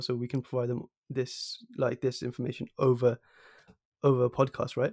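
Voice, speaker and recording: A man with a southern English accent, dry and close with no echo, in a very clean recording with a silent background. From High Wycombe, southern England. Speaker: podcast host. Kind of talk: interview.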